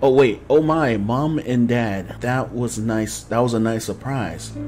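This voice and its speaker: Faint music behind a man speaking at a fairly slow pace with ordinary pitch variation. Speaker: gaming streamer. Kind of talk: game commentary, reading story text aloud. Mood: amused, speculative. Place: home room.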